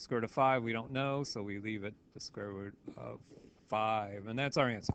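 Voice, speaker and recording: A man talks at a moderate pace in a plain, everyday voice. His pitch varies in an ordinary way. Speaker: math teacher. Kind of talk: tutorial. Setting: recorded video lesson, voice only.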